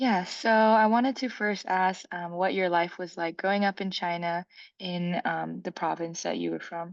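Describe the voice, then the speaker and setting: At a moderate pace, a woman speaks in a normal speaking voice at a fairly low pitch. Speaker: oral history interviewer. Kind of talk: interview questions.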